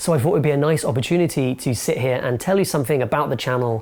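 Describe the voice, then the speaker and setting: Speaking in a London accent, a man shows ordinary pitch variation. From London, England. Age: 20s. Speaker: film reviewer and video essayist. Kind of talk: casual to-camera Q&A monologue.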